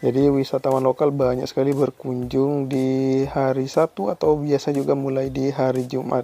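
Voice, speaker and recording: A man speaks in a flat monotone with hardly any pauses and very even loudness, recorded dry with no echo over faint background music. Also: moderate pace. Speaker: travel vlogger. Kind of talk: walking travel vlog narration. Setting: outdoors at night among beach bars. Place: street. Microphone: phone near.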